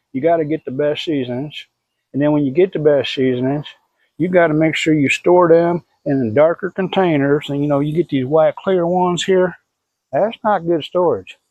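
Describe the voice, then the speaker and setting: This man speaks in a Southern US accent. His pitch is fairly high. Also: ordinary pitch variation, moderate pace. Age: 60s. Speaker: BBQ pitmaster. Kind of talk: tutorial. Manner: casual, folksy.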